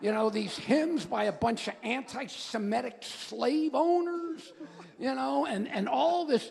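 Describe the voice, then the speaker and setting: A man speaks with an American accent, his pitch swinging very widely. Noticeable background noise runs behind him. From US, Miami Beach. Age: 70s. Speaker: church writer and editor. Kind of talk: Q&A talk. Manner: casual, repetitive stammering.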